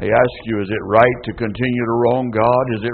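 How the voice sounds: What we hear is a natural reading voice.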